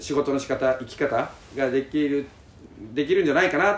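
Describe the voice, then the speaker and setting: A man's normal speaking voice sits fairly high in pitch and keeps a moderate pace. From Japan, Karatsu, Saga (Kyushu). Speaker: company head running island campsites. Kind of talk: casual interview chat. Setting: on location at a campsite in Fukuoka.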